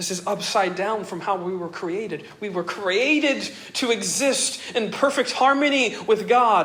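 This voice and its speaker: A man talks fairly slowly while background noise remains noticeable. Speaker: pastor. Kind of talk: sermon.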